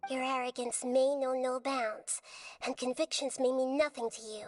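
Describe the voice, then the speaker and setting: A put-on character voice at a moderate pace. The intonation stays flat and monotone. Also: female-sounding voice, high pitch for a woman. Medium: video game. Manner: earnest, firm.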